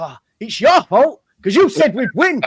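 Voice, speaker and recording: A man puts on a whiny character voice, pitched extremely high. He talks at a moderate pace with very wide pitch swings. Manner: mocking, whiny imitation.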